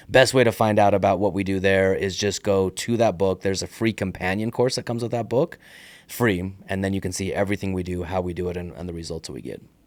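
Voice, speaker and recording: Talking at a very fast pace, a man uses a fairly low pitch with ordinary variation. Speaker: real estate investor and author. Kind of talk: podcast interview. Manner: casual, with fillers and repetitions.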